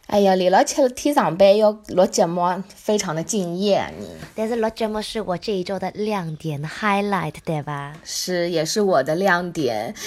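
Over noticeable background noise, a woman with a medium pitch speaks in an animated tone with lively intonation. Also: fairly slow pace. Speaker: podcast co-host. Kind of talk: casual chat.

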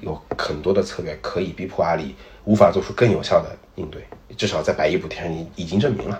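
Ordinary pitch variation marks this speech, delivered at a very fast pace. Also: man. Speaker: internet industry commentator. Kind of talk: casual chat.

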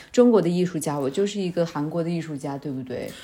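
A woman speaks in a fairly low pitch with a dark, mellow tone. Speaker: podcast host. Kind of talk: casual chat.

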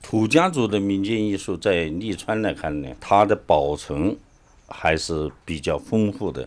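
With an unremarkable speaking voice, a man talks at a fairly slow pace in a fairly low pitch and lively intonation. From Lichuan, Enshi, Hubei. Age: 60s. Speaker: folk culture researcher. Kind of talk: interview.

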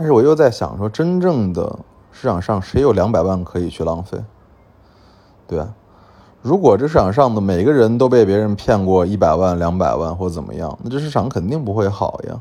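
A man's fairly low, dark, mellow voice rises and falls with lively intonation. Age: 30s. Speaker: antique dealer and podcast host. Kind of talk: storytelling monologue. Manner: frequent fillers and hesitations.

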